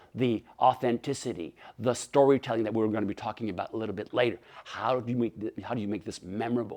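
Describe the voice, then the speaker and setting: A man's animated, very fast speech at a medium pitch, with a Quebec accent. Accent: French Canadian accent in English. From Canada, French-speaking. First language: French. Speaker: motivational speaker. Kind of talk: keynote talk. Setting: webinar. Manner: many fillers and repetitions.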